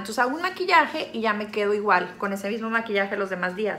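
A woman talks in an animated tone at a fairly high pitch. There is noticeable background noise. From Mexico, Sinaloa. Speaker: YouTuber. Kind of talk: makeup tutorial. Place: home room. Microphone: phone near.

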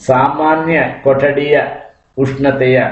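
There is audible room echo as a man speaks in a medium pitch. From rural Chitradurga district, Karnataka. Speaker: science teacher. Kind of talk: lecture. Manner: colloquial village dialect.

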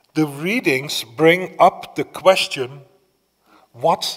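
In a solemn tone, a man with a fairly high pitch speaks at a very slow pace. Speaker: priest. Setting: church, streamed Mass without congregation. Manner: solemn, measured, reverent, with a hushed supplicating tone in the petitions. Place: church. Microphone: podium.

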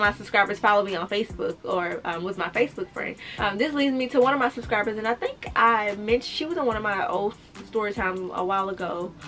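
Faint music plays in the background while a woman speaks at a very fast pace. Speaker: lifestyle vlogger. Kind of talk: casual story-time vlog chat.

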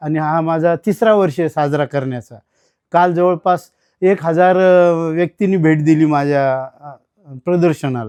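In a dry, close sound with no echo, a man speaks in a fairly high pitch with ordinary pitch variation. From Maharashtra, Latur district (Banjara tanda). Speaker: retired college administrator and radio collector. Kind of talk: interview. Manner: halting.

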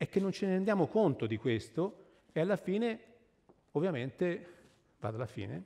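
A man's dark, mellow tone with very wide pitch swings, over a quiet background. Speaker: tree scientist speaker; speaker. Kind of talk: public lecture. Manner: animated. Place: stage.

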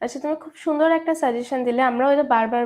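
Dark and mellow in tone, a woman's voice shows ordinary pitch variation. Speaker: medical student and chemistry instructor hosting interview. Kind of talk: live interview show. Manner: formal.

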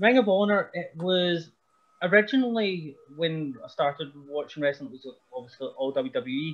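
A high-pitched man with a Scottish accent talks with lively intonation and big swings in loudness. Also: moderate pace. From Scotland. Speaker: pro wrestler. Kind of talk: casual chat. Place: home room. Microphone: video call.

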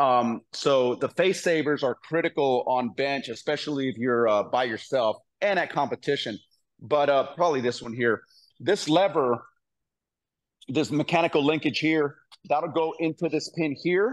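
At a moderate pace, a man speaks with a fairly high pitch. His pitch varies in an ordinary way. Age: 50s. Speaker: powerlifter and former Marine. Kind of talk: casual interview and gym tour. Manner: halting, many fillers. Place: gym.

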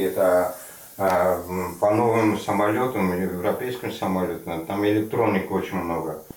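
A man speaks at a very slow pace with ordinary pitch variation. There is audible room echo. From Afghanistan (Parwan), raised in Russia from age 11; Afghanistan. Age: 40s. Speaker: aircraft mechanic facing deportation; interviewee. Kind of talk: interview. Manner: halting. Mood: calm, reflective, somewhat sad.

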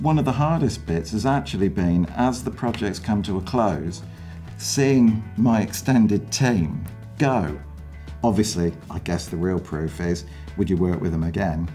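Faint music sits behind a man whose very deep, low pitch comes at a fairly slow pace. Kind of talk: interview answer.

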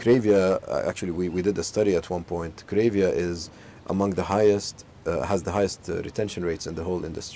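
Speaking at a very fast pace, a man with a very deep, low pitch keeps a fairly even intonation in a dry, echo-free sound over light background noise. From Saudi Arabia, Al Khobar; Saudi Arabia. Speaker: business executive. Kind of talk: interview. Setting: outdoors in a home garden. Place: garden. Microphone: lapel.

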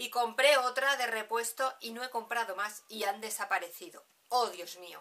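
With big swings in loudness, a woman talks at a moderate pace and ordinary pitch variation. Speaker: beauty vlogger. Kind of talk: casual vlog chat. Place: home room. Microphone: camera far.

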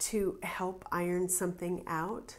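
Fairly even intonation from a female speaker. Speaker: tarot reader. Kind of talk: tarot reading commentary. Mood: calm, reflective.

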